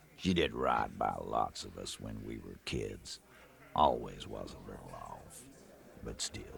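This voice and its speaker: This is a put-on character voice with a gruff edge. It moves at a fairly slow pace. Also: man, very deep, low pitch for a man. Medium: video game. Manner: gruff, mocking.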